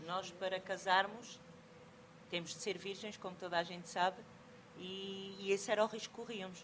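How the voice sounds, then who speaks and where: With a Portuguese accent and monotone, flat intonation, a woman at medium pitch speaks with long, frequent pauses and big swings in loudness over light background noise. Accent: European Portuguese. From Portugal. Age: 40s. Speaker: sociocultural mediator. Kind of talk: conference talk. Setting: stage with audience. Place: hall.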